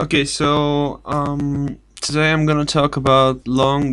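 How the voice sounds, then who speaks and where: This man speaks with a Bulgarian accent at a medium pitch. His pace is very slow. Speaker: video blogger. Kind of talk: casual vlog talk. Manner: halting, many fillers and restarts.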